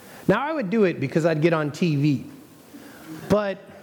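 This is a man with an ordinary speaking voice. His pitch is fairly high and his pace moderate. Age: 30s. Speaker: pastor. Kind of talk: sermon.

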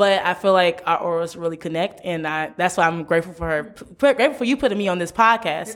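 A woman with an American accent talks very fast, with hardly any pauses. Her intonation is lively, and background noise is noticeable. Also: fairly low pitch for a woman. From US Midwest, St. Louis, Missouri. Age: 20s. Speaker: university student and podcaster. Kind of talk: casual interview chat.

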